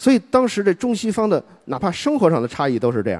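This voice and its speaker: Dark and mellow in tone, a man talks at a fairly quick pace with very wide pitch swings. The sound is dry and close, without echo. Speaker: public speaker on history. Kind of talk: public speech.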